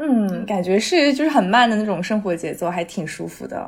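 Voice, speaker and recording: Somewhat breathy and fairly high in pitch, a woman speaks at a moderate pace with lively intonation. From Shanghai, China. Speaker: podcast host. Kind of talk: casual chat.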